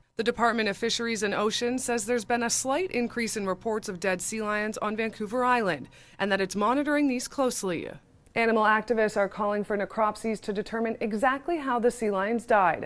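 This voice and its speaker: An ordinary speaking voice from a woman, fairly high in pitch, fairly quick, with ordinary pitch variation, on a very clean recording with a silent background. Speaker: TV news reporter. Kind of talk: TV news report.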